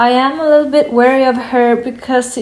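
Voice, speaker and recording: A woman with a non-native accent speaks at a high pitch and a fairly slow pace. Audible room echo and noticeable background noise are present. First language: not English. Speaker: tarot reader. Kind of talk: tarot reading. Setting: at a wooden table in sunlight. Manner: hesitant, many fillers.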